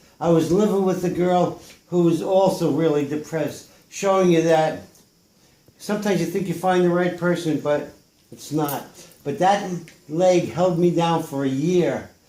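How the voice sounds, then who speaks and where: This man's voice sits high in pitch with a dark, mellow tone and ordinary pitch variation, at a moderate pace. He leaves long, frequent pauses, and room echo is audible. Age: 70s. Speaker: painter. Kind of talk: casual talk about own paintings. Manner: halting.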